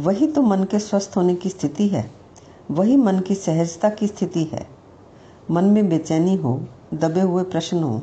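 Her voice is somewhat breathy, with a dark, mellow tone. The woman speaks at a medium pitch with lively intonation. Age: 60s. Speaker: mental wellness teacher. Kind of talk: reflective talk.

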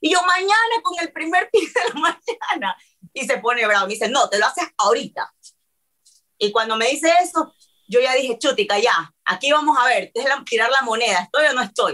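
A woman speaks in a high, raised, projected voice with a bright, sharp tone. Her delivery is animated, with very wide pitch swings. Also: moderate pace. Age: 30s. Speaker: reality TV personality. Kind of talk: casual chat.

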